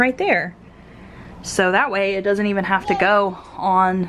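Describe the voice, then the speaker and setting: A woman speaks at a fairly slow pace in a monotone, flat intonation over light background noise. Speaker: parent vlogger. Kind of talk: casual vlog chat. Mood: cheerful, relaxed. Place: home room. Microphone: phone near.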